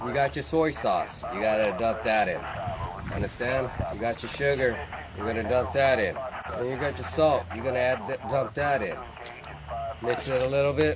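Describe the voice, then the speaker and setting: Pausing long and often, a man talks with ordinary pitch variation against noticeable background noise. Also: moderate pace. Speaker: cooking show host in military persona. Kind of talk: tutorial. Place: open country. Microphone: lapel.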